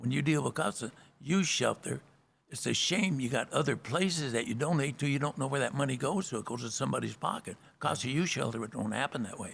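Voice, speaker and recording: With vocal fry and an American accent, a man talks at a very fast pace in a medium pitch with ordinary pitch variation. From Southern California. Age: 80s+. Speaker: bar owner and philanthropist. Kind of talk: interview. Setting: American Legion post hall.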